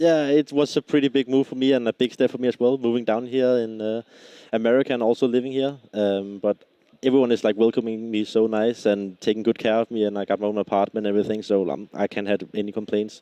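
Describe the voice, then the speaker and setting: With a Danish accent, a man speaks very fast at a medium pitch, his dark, mellow tone and fairly even intonation captured as a dry, close sound with no echo. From Denmark. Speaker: esports player, team leader. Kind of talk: post-match interview. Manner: halting, many fillers.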